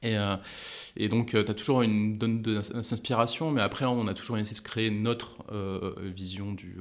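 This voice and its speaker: Fairly slow, fairly even intonation from a man with a fairly low pitch. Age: 40s. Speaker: entrepreneur. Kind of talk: interview. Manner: hesitant with fillers.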